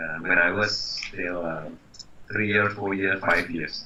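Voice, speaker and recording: A man with an Indonesian accent speaks at a moderate pace, with audible room echo and noticeable background noise. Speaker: brand consultant. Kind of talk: interview. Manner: halting.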